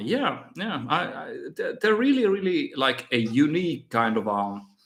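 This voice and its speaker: Speaking at a fairly slow pace with a Finnish accent, a man lets his pitch swing very widely. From Finland. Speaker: miniature painting youtuber. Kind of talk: live stream Q&A. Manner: halting, many fillers and repeats.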